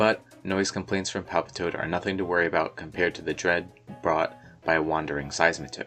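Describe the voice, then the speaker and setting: With music playing in the background, a man talks at a moderate pace in a very deep, low voice with fairly even intonation. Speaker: fan artist and video creator. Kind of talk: video essay voiceover.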